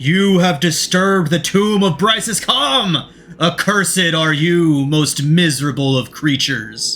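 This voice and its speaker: Using a put-on character voice, a man speaks at a fairly slow pace with a fairly high pitch while faint music plays in the background. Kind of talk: archaic, formal. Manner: menacing, accusing.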